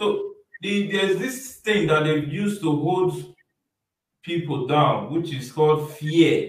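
Over light background noise and audible room echo, a man with a fairly high pitch talks at a very slow pace with lively intonation. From Nigeria. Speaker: online show host; show host. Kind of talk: interview discussion. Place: home room.

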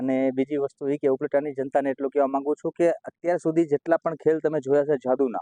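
A man's fairly high pitch in a dark, mellow tone, monotone and flat in intonation, in a dry, close sound with no echo. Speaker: stage magician. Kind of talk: interview.

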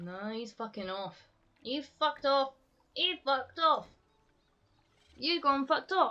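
A woman's raised, projected voice, high-pitched with very wide pitch swings and big swings in loudness, moves at a fairly slow pace. Long, frequent pauses break it up while music plays in the background. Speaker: streamer. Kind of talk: casual gaming live-stream commentary.

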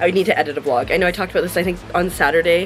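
A woman speaks very fast while music plays in the background. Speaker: vlogger, streamer. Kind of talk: casual vlog chat. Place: home room.

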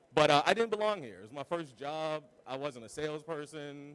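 A man speaks with ordinary pitch variation. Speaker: conference presenter. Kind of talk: conference talk. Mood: reflective, self-deprecating. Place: hall.

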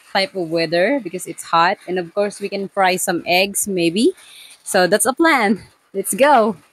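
The recording has a dry sound with no echo as a woman speaks fairly slowly with ordinary pitch variation. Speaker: lifestyle vlogger. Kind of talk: casual vlog chat. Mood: warm, cheerful. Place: kitchen. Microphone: lapel.

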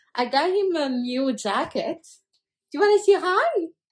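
The background stays quiet while a woman speaks. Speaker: family vlogger. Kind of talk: casual vlog chat. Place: home room. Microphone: phone near.

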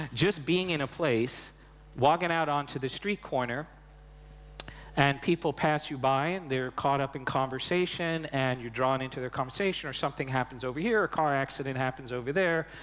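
A man with a Long Island accent talks at a fairly quick pace with a fairly high pitch and ordinary pitch variation. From Long Island, New York. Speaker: invited speaker on immersive storytelling. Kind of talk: interview answer. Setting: stage at a media convention. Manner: conversational, many filler phrases. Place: stage. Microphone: headset.

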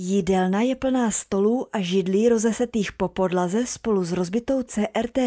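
The sound is dry and close, with no echo at all. This woman's tone is dark and mellow. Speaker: storyteller. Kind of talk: ghost story telling, first-person horror narration. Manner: hushed, tense, suspenseful narration.

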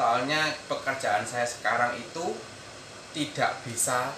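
A man speaking at a fairly slow pace against noticeable background noise. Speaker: migrant worker vlogger. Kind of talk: casual vlog chat. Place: home room. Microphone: phone near.

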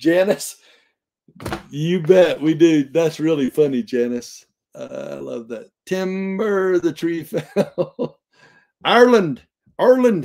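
In a South Texas accent, a man speaks very slowly at a high pitch with very wide pitch swings and long, frequent pauses against a quiet background. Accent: Southern Texas. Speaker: Bible study teacher. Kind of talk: casual chat. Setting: live stream. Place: home room. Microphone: webcam.

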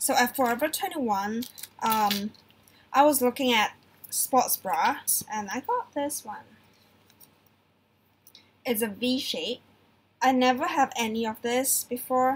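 A woman speaks fairly slowly at a high pitch, leaving long, frequent pauses. Her loudness swings widely while her pitch varies in an ordinary way. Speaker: vlogger. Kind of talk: casual vlog chat, haul show-and-tell. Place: home room. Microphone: webcam.

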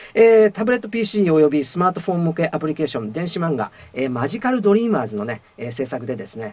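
This man has a high voice with very wide pitch swings. He speaks at a very fast pace. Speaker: voice actor. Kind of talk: radio talk show host.

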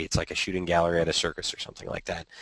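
A man's very deep, low voice in a dry, close recording with no echo. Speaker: podcast co-host, educational technology. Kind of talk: casual panel discussion. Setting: video call.

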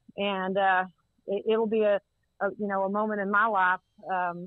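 A woman's medium-pitched voice with a Texan accent, monotone with flat intonation. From Texas, Central Texas (Waco area). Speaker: college football administrator. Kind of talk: interview. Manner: halting, many fillers.

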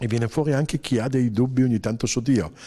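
A man talks at a fairly quick pace. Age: 60s. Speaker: journalist and author; journalist. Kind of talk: interview. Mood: warm, anecdotal, smiling. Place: meeting room. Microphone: handheld.

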